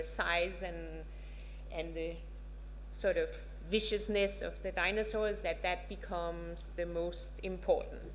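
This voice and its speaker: A woman with a Danish accent speaks at a fairly slow pace. Room echo is audible. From Denmark. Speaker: professor. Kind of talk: lecture. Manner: halting, many filler words.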